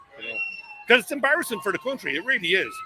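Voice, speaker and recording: A man's voice against noticeable background noise. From Ireland. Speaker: passerby. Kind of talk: street interview.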